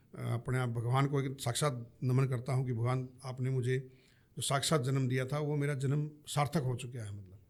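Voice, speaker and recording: A man talks in a somewhat breathy voice with fairly even intonation. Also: medium pitch for a man, moderate pace. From Haryana, India. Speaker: army veteran. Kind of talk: podcast interview.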